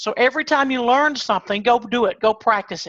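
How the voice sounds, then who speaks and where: With a normal speaking voice, a woman of fairly high pitch and ordinary pitch variation speaks at a moderate pace, the sound dry and close with no echo against a quiet background. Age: 60s. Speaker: online marketer and pest control business owner. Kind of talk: webinar presentation.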